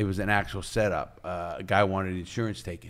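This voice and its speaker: In a New York accent, a man talks at a fairly quick pace with fairly even intonation on a very clean recording with a silent background. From New York, the Bronx. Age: 60s. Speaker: former criminal and author. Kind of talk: interview storytelling. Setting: studio.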